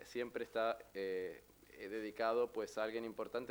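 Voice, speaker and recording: A man speaks at a moderate pace with an Argentine accent. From Argentina. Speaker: novelist. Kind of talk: book presentation talk. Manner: halting, many fillers.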